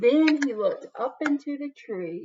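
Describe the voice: Slow in pace, the voice has lively intonation, a slightly husky edge and a slightly mellow tone. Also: woman.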